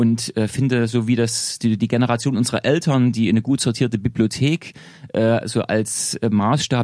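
A man with an unremarkable speaking voice talks at medium pitch and a moderate pace, with fairly even intonation, very even loudness, and a dry, close sound with no echo. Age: 40s. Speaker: author and historian. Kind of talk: casual interview. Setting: studio.

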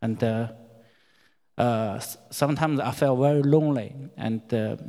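A man speaks at a very slow pace with a Chinese accent. His intonation stays fairly even. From China. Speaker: church member. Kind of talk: testimony. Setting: church. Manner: halting.

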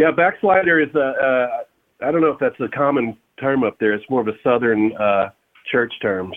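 This man speaks with a Texan accent at a moderate pace. His pitch is medium, and his intonation is lively. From Texas, Fort Worth. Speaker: rock singer and guitarist. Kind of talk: casual interview.

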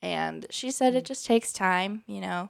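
A woman talks at a fairly slow pace in a dry, close sound with no echo, in a very clean recording with a silent background. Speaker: UX researcher. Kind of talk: casual chat.

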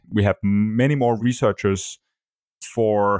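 Through a very clean, dry and close recording with a silent background and no echo, a man speaks with a Danish accent at a fairly low pitch and with fairly even intonation. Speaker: podcast host. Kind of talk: interview conversation.

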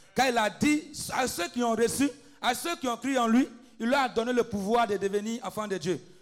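A man speaks at a moderate pace in an extremely high pitch, with ordinary pitch variation. Music plays in the background. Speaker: preacher and intercessor. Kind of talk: fervent intercessory prayer and preaching. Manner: exhorting, rising intensity.

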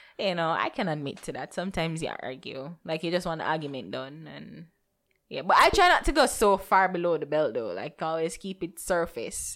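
The speaker is a woman with a fairly quick delivery. Her recording is very clean, and the background is silent. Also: big swings in loudness. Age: 20s. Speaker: podcast co-host. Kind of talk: casual chat.

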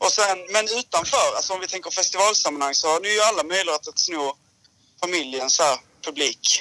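A man with a high voice speaks at a fairly quick pace, with ordinary pitch variation. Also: dry, close sound with no echo. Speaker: former song contest winner, musician. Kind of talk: casual chat.

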